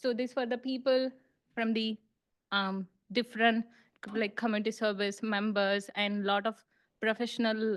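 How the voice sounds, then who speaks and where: At a fairly slow pace, a woman speaks in a monotone, flat way. Her pitch is fairly high and the background is quiet. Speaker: international student, club member. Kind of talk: presentation to a club. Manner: halting, many fillers.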